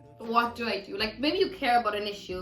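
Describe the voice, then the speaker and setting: A woman talks at a very fast pace, with music in the background and audible room echo. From Germany. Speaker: university student podcaster. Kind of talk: casual chat.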